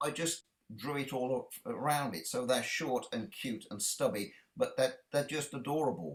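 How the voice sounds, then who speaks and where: With a British accent, a man speaks at a moderate pace in a fairly high voice, his intonation lively and touched with vocal fry. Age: 60s. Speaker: children's author and illustrator. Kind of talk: interview. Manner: halting.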